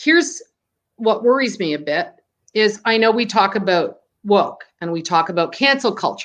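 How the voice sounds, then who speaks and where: Over a quiet background, a woman with an ordinary speaking voice talks at a fairly high pitch with lively intonation. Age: 60s. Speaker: screen printing business owner. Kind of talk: interview.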